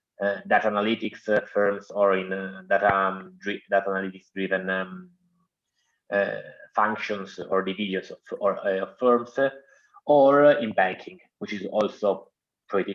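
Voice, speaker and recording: A man's fairly low-pitched voice at a moderate pace, fairly even in intonation but with big swings in loudness. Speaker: student representative. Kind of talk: online Q&A session. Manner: halting, many fillers.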